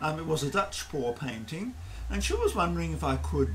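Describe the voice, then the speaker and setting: A man's voice rises and falls in very wide pitch swings. Light background noise sits behind him. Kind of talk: tutorial. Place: garage.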